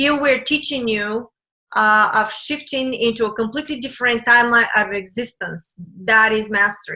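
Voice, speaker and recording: Bright and sharp, the tone holds a moderate pace. Its pitch moves in an ordinary way. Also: woman, fairly high pitch for a woman. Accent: non-native. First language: not English. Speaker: spiritual teacher. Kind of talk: webinar talk. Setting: webinar with screen sharing. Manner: hesitant, many fillers.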